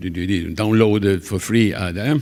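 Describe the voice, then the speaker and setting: Very slowly, a man speaks with an Italian accent. His fairly low voice shows ordinary pitch variation. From Italy. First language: Italian (speaking French). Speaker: conference session coordinator. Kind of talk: conference moderation speech. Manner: halting, many hesitations.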